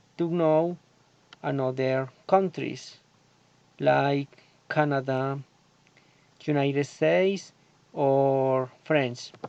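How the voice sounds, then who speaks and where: A man speaks with a Colombian accent at a very slow pace. His intonation is fairly even. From Colombia, Antioquia. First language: Spanish. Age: 30s. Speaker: agronomy student. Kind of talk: prepared self-introduction for English class. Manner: halting.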